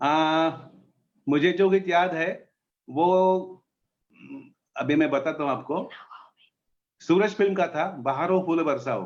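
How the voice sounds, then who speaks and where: Long, frequent pauses break up this man's speech. His pitch is high, with ordinary variation. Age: 60s. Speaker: radio enthusiast. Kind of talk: interview. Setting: live stream.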